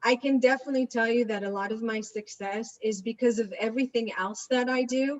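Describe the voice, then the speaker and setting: The speaker talks at a fairly quick pace with an Israeli accent and fairly even intonation. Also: woman. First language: Hebrew. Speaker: real estate agent. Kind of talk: interview. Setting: video webinar.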